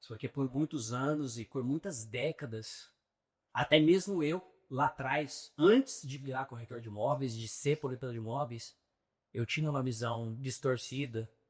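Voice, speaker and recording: Somewhat breathy and medium in pitch, a man talks at a fairly slow pace with ordinary pitch variation and big swings in loudness. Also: very clean recording, silent background. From São Paulo, Brazil. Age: 30s. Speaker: real estate agent. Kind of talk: podcast interview.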